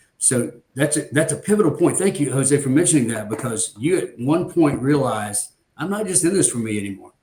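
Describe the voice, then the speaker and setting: Speaking at a fairly quick pace, a man with a fairly high pitch uses lively intonation in a dark, mellow, somewhat breathy tone. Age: 60s. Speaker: podcast host in flooring industry. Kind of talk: casual podcast chat.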